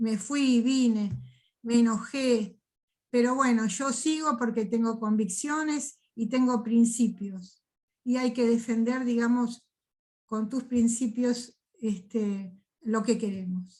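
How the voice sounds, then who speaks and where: Intonation holds fairly even. The pace is very slow. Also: woman, fairly high pitch for a woman. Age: 60s. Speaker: political activist, seminar participant. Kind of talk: discussion in online seminar.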